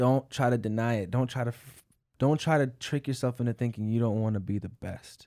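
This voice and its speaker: The recording is very clean with a silent background. On it, a man with a dark, mellow tone speaks with fairly even intonation. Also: medium pitch for a man, fairly quick pace. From Tanzania (Dar es Salaam). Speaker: musician in a music group. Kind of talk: casual chat.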